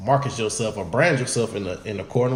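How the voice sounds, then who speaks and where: A man talks at a very fast pace with lively intonation. Noticeable background noise and audible room echo fill the recording. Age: young. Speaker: podcast co-host. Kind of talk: casual chat. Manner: soft-spoken.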